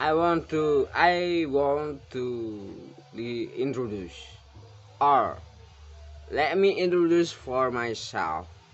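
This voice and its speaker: A man with an Indonesian accent at a very slow pace, with long, frequent pauses. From Indonesia, Java. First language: Javanese. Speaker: illustrator. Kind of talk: casual vlog talk to viewers. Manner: halting, non-fluent English.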